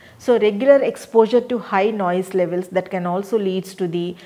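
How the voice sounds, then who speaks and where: This woman's voice shows ordinary pitch variation. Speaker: lecturer. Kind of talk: lecture. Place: studio.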